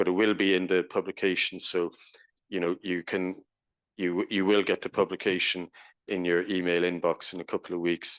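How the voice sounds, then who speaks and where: A man with an Irish accent speaks at a moderate pace in a very deep, low pitch and monotone, flat intonation. The sound is dry and close with no echo, over a quiet background. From Ireland. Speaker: professor. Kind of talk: conference presentation.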